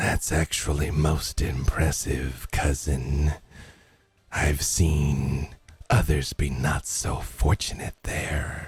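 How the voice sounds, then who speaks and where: A man's put-on character voice, very deep and low, at a very slow pace with fairly even intonation. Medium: actual play. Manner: sly, whispering.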